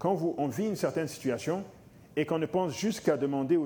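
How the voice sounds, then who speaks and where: A man talks very fast in a fairly high voice with lively intonation. His tone is dark and mellow. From Africa. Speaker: lay preacher. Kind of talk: sermon.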